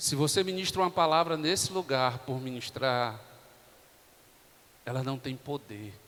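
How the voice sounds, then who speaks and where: With ordinary pitch variation, a soft-spoken man talks. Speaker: pastor. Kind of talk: sermon. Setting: church.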